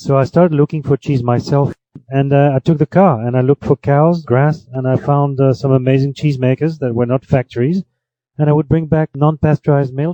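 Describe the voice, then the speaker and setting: A man with a French accent, fairly even intonation and a fairly quick pace. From France (Paris). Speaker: cheese and wine tour guide. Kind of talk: radio interview. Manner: halting, many fillers and repetitions.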